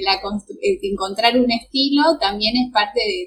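In a Rioplatense accent, a woman with a fairly high pitch speaks at a moderate pace, her pitch swinging very widely. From Argentina, Greater Buenos Aires. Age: 20s. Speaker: fashion designer. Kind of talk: casual interview chat.

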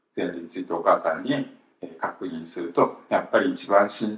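A man talks at a moderate pace. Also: big swings in loudness. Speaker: Bible teacher host. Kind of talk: casual religious talk, recounting.

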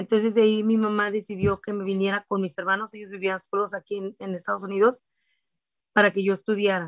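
At a fairly quick pace, a woman with a medium pitch speaks in a monotone, flat intonation, with a dry, close sound and no echo. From Mexico, Durango. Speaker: food vendor and small business owner. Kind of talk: interview. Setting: live stream.

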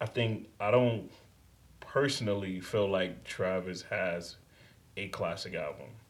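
In a room with audible echo, a man with a New York accent speaks at a very slow pace, leaving long, frequent pauses. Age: 30s. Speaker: podcast host. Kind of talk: casual chat.

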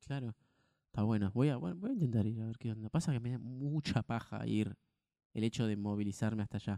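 A man with an Argentine accent at a fairly quick pace, medium pitch, ordinary pitch variation and a dark, mellow tone, in a dry, close sound with no echo. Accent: Rioplatense Argentine Spanish. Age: 20s. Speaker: podcast co-host. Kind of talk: casual chat.

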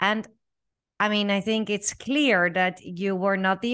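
The speaker has a Dutch accent. The background is quiet. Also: woman. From the Netherlands. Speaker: podcast host. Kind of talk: interview, podcast host. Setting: video call.

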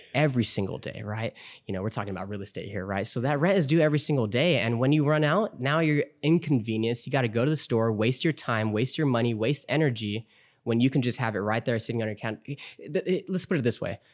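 Lively intonation carries a very fast delivery in an American accent, on a very clean recording with a silent background. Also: man, medium pitch for a man. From Southern California. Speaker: credit repair business owner. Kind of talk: casual interview. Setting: garage studio.

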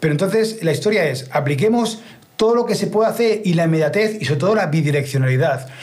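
Animated in tone, a man talks at a very fast pace with a high pitch, lively intonation and very even loudness. Audible room echo and noticeable background noise surround him. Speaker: streaming expert and musician. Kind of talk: interview. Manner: halting.

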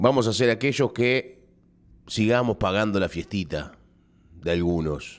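A man speaks in an animated tone with very wide pitch swings, on a very clean recording with a silent background. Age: 30s. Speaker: radio host. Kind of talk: radio editorial monologue.

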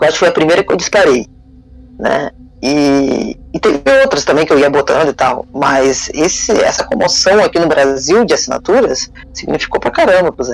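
There is noticeable background noise behind a man's voice. He talks at a moderate pace. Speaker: fan news site founder. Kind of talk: casual chat.

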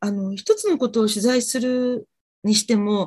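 This woman's voice is fairly high in pitch, dark and mellow in tone, and fairly slow in pace. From Japan, Fukuoka. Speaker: freelance TV director, client. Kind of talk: career consultation.

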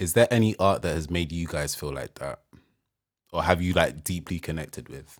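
A man's very deep, low voice at a moderate pace. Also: ordinary pitch variation, very clean recording, silent background. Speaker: podcast co-host. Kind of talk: casual chat.

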